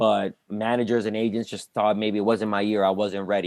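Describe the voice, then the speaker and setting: A man speaks at a moderate pace. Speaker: stand-up comedian. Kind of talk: casual interview chat. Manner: loud.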